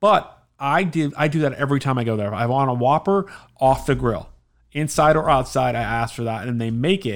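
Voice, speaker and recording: Here a man with an American accent speaks at a medium pitch and a moderate pace, with ordinary pitch variation and an unremarkable speaking voice. The recording is very clean with a silent background. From South Florida, Miami area. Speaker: returning podcast guest, father. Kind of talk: casual chat.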